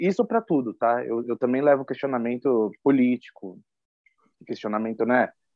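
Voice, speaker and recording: He has a normal speaking voice, medium in pitch, and keeps to a moderate pace. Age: 30s. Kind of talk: interview testimony.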